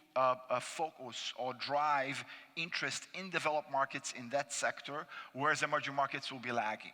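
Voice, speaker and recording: With a Brazilian accent, a man speaks at a moderate pace in a fairly high pitch, his intonation fairly even. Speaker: finance panelist. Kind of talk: conference presentation. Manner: hesitant with fillers.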